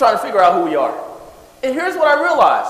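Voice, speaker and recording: This man's voice sits at an extremely high pitch with an animated tone. Noticeable background noise runs underneath. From California. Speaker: wealth coach. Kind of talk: seminar talk. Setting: stage with audience.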